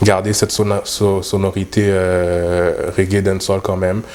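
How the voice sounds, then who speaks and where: A man's very deep, low voice, monotone and flat, at a very slow pace over noticeable background noise. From Montreal North, Quebec. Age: young. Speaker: dancehall artist. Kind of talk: interview. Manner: halting, many fillers.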